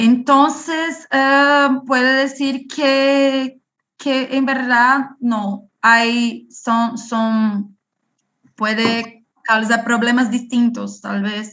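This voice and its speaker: At a very slow pace, a high-pitched woman with a non-native accent talks with fairly even intonation. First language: Portuguese (speaking Spanish). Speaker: parasitology researcher. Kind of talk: Q&A after online lecture. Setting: video call. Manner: halting.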